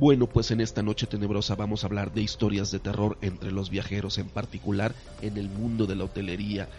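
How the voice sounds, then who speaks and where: A man's fairly low voice at a fairly quick pace, fairly even in intonation and with hardly any pauses, over background music. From Mexico, Campeche. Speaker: podcast host, former hotel industry worker. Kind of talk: casual chat.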